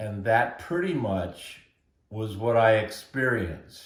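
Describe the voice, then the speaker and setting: A man speaks at medium pitch. He has a West Coast accent. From US Pacific Northwest, Portland, Oregon. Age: 70s. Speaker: interviewee telling his life story. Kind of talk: oral history interview.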